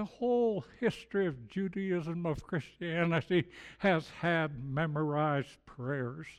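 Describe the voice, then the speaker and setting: Against a quiet background, a man with a high pitch speaks at a fairly slow pace with lively intonation. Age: old. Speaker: guest preacher. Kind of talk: sermon. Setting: church with congregation.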